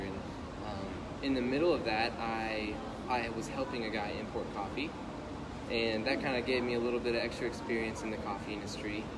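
The speaker talks at a fairly quick pace. Loud background noise is present. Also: man. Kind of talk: interview answer. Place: cafe. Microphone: phone near.

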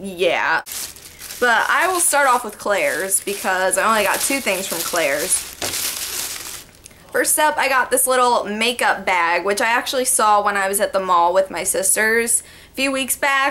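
A woman talks at a fairly slow pace over light background noise. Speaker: vlogger. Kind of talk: casual vlog chat. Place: home room. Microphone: webcam.

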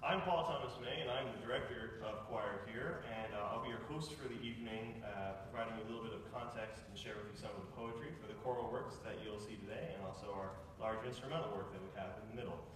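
Noticeable background noise and strong room echo sit behind a man talking. He goes at a very fast pace with hardly any pauses and ordinary pitch variation. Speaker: choir director hosting a concert. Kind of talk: concert host announcement. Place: stage. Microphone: camera far.

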